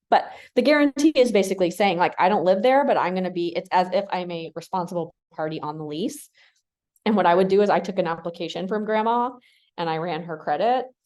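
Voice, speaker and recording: A woman speaks at a very fast pace and medium pitch, with lively intonation. The background is quiet. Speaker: real estate broker and attorney teaching a class. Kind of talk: lecture.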